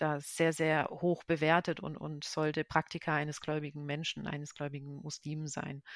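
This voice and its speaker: A woman's very deep, low voice at a moderate pace, recorded dry and close with no echo on a very clean, silent background. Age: 30s. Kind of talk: interview. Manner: hesitant, many fillers.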